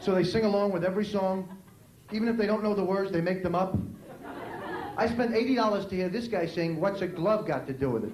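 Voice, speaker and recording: A man with an American accent, high-pitched for a male voice, talking at a very fast clip with long, frequent pauses, ordinary pitch variation, audible room echo and noticeable background noise. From New York City. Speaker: stand-up comedian. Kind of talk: stand-up. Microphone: poor VHS recording quality.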